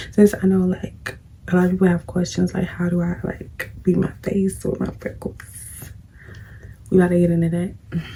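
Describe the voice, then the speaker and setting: A woman speaks in a fairly low, monotone, flat voice at a moderate pace. Long, frequent pauses break up her speech. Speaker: beauty vlogger. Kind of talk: casual chat while doing makeup. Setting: at home, late at night. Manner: casual, conversational.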